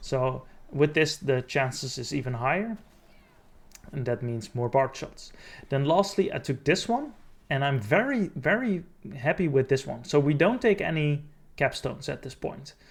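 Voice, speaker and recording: Somewhat breathy and fairly high in pitch, a man speaks with long, frequent pauses in a very clean recording with a silent background. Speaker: gaming video creator. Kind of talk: tutorial. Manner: mumbling; halting.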